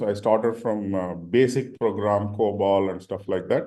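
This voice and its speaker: A man with a Tamil accent at a moderate pace, his intonation fairly even. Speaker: senior leader, panelist. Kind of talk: panel discussion. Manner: halting, many fillers.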